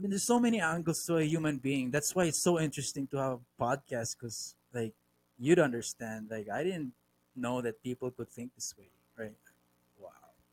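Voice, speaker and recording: Lively intonation and big swings in loudness mark this man's fairly high-pitched, fairly quick speech, with a dry, close sound with no echo. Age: 30s. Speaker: podcast host. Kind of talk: casual chat. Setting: video call. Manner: halting.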